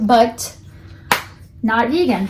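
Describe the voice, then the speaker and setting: A woman speaks in a somewhat breathy, fairly high-pitched voice. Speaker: beauty vlogger. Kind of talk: product unboxing review. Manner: fast.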